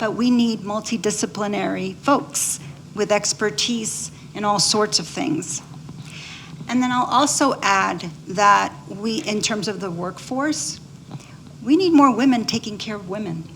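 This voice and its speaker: A woman's medium-pitched voice, fairly slow and lively in intonation, over noticeable background noise. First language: Spanish. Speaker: physician. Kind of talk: panel discussion.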